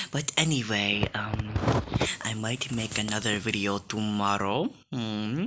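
A man with ordinary pitch variation, amid loud background noise. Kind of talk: casual reaction commentary. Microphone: phone near.

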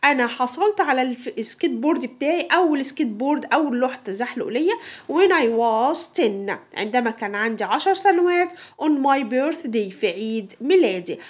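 Speaking at a fairly slow pace with an Egyptian accent, a woman uses a high pitch and very wide pitch swings against a quiet background. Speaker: English teacher. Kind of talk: tutorial.

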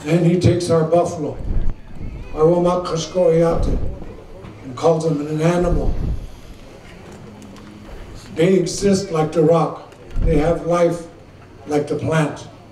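A man with a high voice speaks at a fairly slow pace in a monotone, flat way, with long, frequent pauses, audible room echo and light background noise. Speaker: speaker. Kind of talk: formal public address. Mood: slow, solemn, measured. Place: tent. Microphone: podium.

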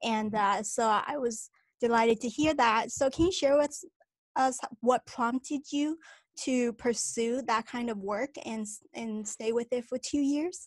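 Ordinary pitch variation at a fairly slow pace, dry with no echo, against a quiet background. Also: woman, high pitch for a woman. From China. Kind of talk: interview. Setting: video call. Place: home room. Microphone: studio mic.

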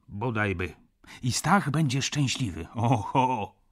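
A man speaks at a very slow pace, his voice somewhat breathy and his intonation lively. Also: very clean recording, silent background. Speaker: audiobook narrator. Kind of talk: literary audiobook reading, first-person narration with dialogue. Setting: studio. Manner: measured, theatrical pacing, with emotional warmth at the reconciliation.

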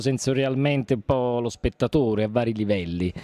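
Speaking at a fairly quick pace, a man is heard in a dry recording with no echo. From Naples area, Italy; Italy. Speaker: stage actor and playwright. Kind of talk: interview; interview answer. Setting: event venue. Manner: halting. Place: hall. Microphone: handheld.

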